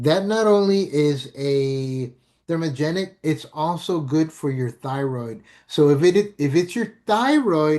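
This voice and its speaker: A plain, everyday voice from a man, fairly high in pitch, with lively intonation against a quiet background. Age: 60s. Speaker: network marketing presenter. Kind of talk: sales pitch. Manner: casual, filler-heavy.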